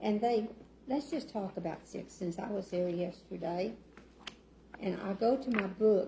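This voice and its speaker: Soft-spoken, a woman with an Arkansas accent talks at a medium pitch and a fairly slow pace with ordinary pitch variation and long, frequent pauses over noticeable background noise. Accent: Southern US (Arkansas). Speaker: city council member. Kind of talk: casual talk at community meeting. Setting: meeting room with audience. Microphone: sound issues, too quiet.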